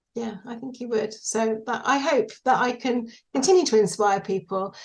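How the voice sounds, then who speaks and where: This woman's pitch sits fairly high. It varies in an ordinary way. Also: quiet background. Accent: British. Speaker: widow, singing teacher and small business owner. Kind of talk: interview. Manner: hesitant, many fillers.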